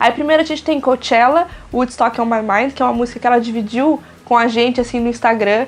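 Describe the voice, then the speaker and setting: Through noticeable background noise, a woman speaks very fast in a high voice with fairly even intonation. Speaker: music reviewer YouTuber. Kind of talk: album review vlog.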